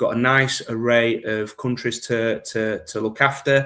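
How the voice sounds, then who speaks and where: A man with a strong Yorkshire accent and a medium pitch. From Yorkshire, northern England. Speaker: gift card business manager. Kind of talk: podcast interview.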